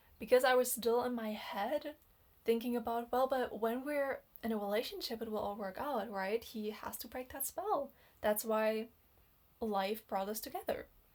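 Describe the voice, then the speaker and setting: Here a woman speaks with a non-native accent. Her pitch is fairly high and moves in an ordinary way. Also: moderate pace. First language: not English. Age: 20s. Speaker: dating and relationship vlogger. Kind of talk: personal storytelling monologue. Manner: casual, hesitant with fillers.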